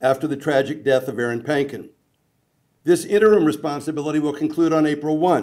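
A man with an American accent talks at a very fast pace and a fairly high pitch. His pitch varies in an ordinary way, and the background is quiet. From US Midwest, Kansas City; Missouri. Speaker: community leader introducing speakers; speaker. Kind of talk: formal introduction. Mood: warm, lightly humorous. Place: hall.

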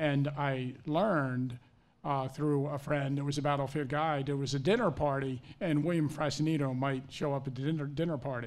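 This man has an ordinary speaking voice with a fairly high pitch. He keeps a moderate pace and fairly even intonation. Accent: American. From Maryland, US Mid-Atlantic. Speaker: historian. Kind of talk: panel discussion. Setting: stage with audience. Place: hall. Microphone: podium.

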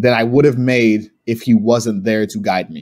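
Speaking in a plain, everyday voice, a man talks at a fairly slow pace with ordinary pitch variation. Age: 30s. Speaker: pro wrestler. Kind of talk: casual chat.

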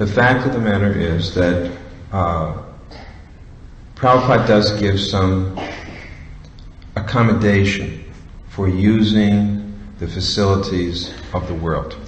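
Speaking at a very slow pace with long, frequent pauses, a man with a fairly low pitch keeps a fairly even intonation over light background noise and audible room echo. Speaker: religious teacher. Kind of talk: lecture. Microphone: podium.

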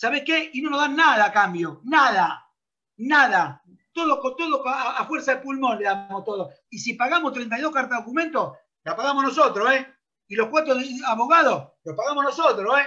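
A man projects a raised voice at an extremely high pitch, bright and sharp, with lively intonation. He keeps a moderate pace against a quiet background. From Argentina. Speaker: football coach. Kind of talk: interview; interview answer. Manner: animated. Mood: indignant complaint. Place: home room. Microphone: video call.

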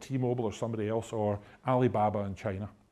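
Here a man with a Scottish accent speaks at a fairly quick pace. His tone is dark and mellow, with ordinary pitch variation. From Scotland. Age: 50s. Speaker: technology executive. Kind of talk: lecture. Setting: stage with audience. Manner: humorous. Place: hall. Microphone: lapel.

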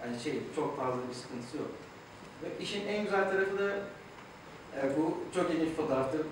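Noticeable background noise and strong room echo surround a man speaking at a fairly quick pace. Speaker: speaker. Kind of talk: talk to an audience. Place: hall.

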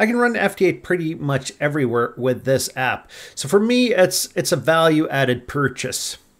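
A man at a moderate pace with hardly any pauses and very wide pitch swings. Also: quiet background. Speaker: ham radio hobbyist. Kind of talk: casual vlog chat. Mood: wry about app cost.

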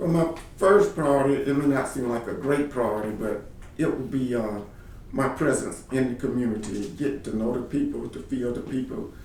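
A man with a medium-pitched voice and ordinary pitch variation speaks at a moderate pace, with audible room echo and noticeable background noise. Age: 50s. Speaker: political candidate. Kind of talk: candidate interview answers. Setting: office. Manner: halting, many repeated words.

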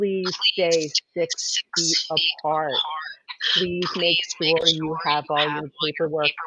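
In a put-on character voice, a woman speaks at a very slow pace with a fairly low pitch. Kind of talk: casual conversation.

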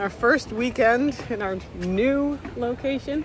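This is a man's voice with noticeable background noise. The sound is dry, with no echo. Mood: cheerful. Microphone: phone near.

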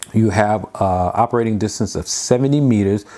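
A dark, mellow tone comes with ordinary changes in pitch. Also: man. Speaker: product reviewer. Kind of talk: unboxing tutorial. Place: home room. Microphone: lapel.

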